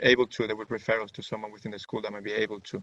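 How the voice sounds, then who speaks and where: A man with a Spanish accent, monotone and flat in intonation, in a dry, close sound with no echo. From Venezuela. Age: 20s. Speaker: student. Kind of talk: webinar presentation. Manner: halting.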